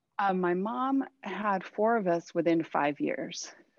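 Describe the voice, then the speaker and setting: A woman speaks at a fairly slow pace with a Californian accent. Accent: Californian American English. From Southern California, Thousand Oaks. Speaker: artist. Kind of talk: interview conversation.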